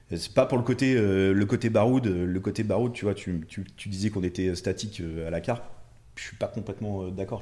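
The man's voice has a dark, mellow tone at a fairly low pitch, with fairly even intonation. The recording is very clean with a silent background. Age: 30s. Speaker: carp angler. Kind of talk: casual chat.

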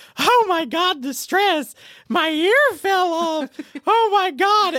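Shouting in a put-on character voice, the speaker uses an extremely high pitch at a very slow pace. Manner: screaming, panicked.

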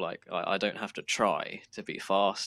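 A man with a British accent speaks in a bright, sharp tone. His pace is fairly slow, and the recording is very clean with a silent background. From southern England. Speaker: sim racer. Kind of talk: casual interview.

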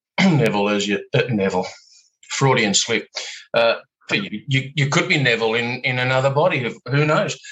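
Speaking at a moderate pace in an unremarkable speaking voice, a man at medium pitch uses lively intonation. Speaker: podcast host. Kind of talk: interview conversation. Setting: video call.

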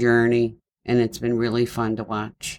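A man with a Baltimore accent, medium pitch and a fairly slow pace. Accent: Baltimore accent with a twang. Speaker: host's mother. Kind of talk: casual chat.

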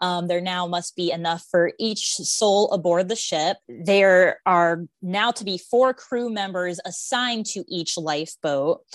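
A woman with an ordinary speaking voice talks at a fairly slow pace with hardly any pauses, using a medium pitch and ordinary pitch variation against a quiet background. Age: 30s. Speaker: Titanic enthusiast. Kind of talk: casual chat.

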